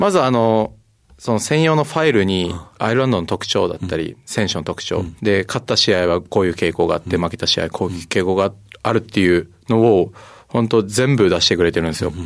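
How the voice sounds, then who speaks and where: An unremarkable speaking voice talks at a fairly quick pace. Its intonation is lively. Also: man, fairly low pitch for a man. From Japan, Kagoshima. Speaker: rugby player. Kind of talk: interview. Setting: studio.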